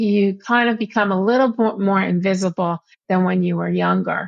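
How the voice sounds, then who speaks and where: An unremarkable speaking voice in an American accent moves at a moderate pace. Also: woman. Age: 60s. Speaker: patient advocate and blogger. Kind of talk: interview.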